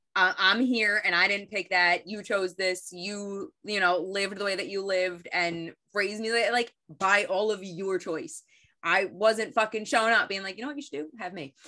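With an American accent, a woman at medium pitch has a bright, sharp tone on a very clean recording with a silent background. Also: ordinary pitch variation, moderate pace. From US. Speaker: podcast co-host. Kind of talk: casual chat.

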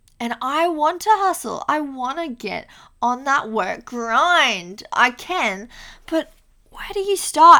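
A raised, projected voice with a bright, sharp tone, an Australian accent, lively intonation and a very slow pace. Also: woman. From Australia, Queensland (Mackay). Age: 20s. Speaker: podcast host, university student. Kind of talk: casual solo monologue. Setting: home recording on laptop mic, lying on floor. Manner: casual, chatty with filler ums.

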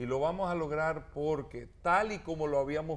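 A man's fairly high-pitched, animated voice at a fairly slow pace. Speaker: mayoral candidate. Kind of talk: interview.

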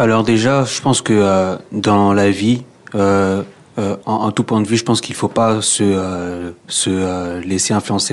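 Against noticeable background noise, a man with a fairly low voice speaks in a flat monotone. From DR Congo. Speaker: young job seeker. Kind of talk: radio interview.

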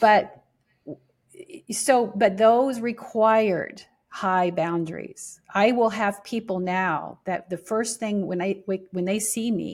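A woman's ordinary speaking voice at a medium pitch, with an American accent and fairly even intonation, on a very clean recording with a silent background. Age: 60s. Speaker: spiritual teacher. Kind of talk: interview.

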